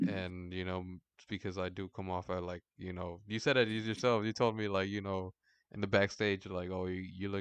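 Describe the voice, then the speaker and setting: A man's very deep, low voice, flat and monotone, at a moderate pace over a quiet background. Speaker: podcast host. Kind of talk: casual chat. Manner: deadpan.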